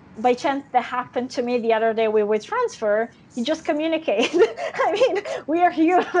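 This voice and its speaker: Over noticeable background noise, a woman with an Italian accent speaks at a high pitch and a fairly quick pace, with lively intonation. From Italy. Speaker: actress. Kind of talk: interview. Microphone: connection going on and off.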